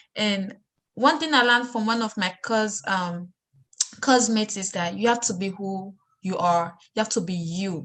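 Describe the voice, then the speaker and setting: Speaking with a strong Sierra Leonean accent, a woman keeps a medium pitch, ordinary pitch variation and a moderate pace. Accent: heavy Sierra Leonean. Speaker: student discussion host. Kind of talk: casual discussion.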